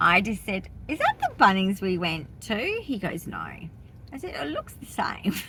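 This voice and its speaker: A woman with an Australian accent speaks at a fairly slow pace, her loudness swinging widely. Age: 50s. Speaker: vlogger. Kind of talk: casual vlog chat. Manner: animated.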